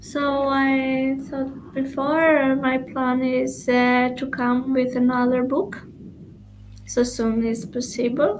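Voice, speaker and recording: Speaking very slowly in a high pitch, a woman with an Albanian accent keeps a monotone, flat intonation while the room echo is audible. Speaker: poet. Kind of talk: interview. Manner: halting.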